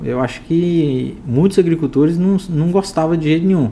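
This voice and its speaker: Using an unremarkable speaking voice, a man talks at a moderate pace with ordinary pitch variation. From Minas Gerais, Triângulo Mineiro. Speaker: agribusiness podcast host. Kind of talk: casual interview chat. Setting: studio.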